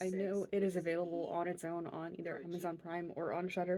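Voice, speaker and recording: A woman's voice at a medium pitch. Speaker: crochet podcaster. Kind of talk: casual chat.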